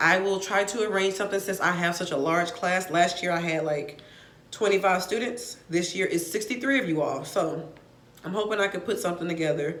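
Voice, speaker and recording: Audible room echo surrounds a woman whose fairly low voice shows ordinary pitch variation. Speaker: college professor. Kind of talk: casual talk to students. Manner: fast.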